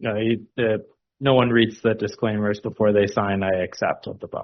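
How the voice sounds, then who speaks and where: A man speaks in a flat, monotone way at a moderate pace. His pitch sits fairly low. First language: not English. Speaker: physician presenter. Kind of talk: audience Q&A answer.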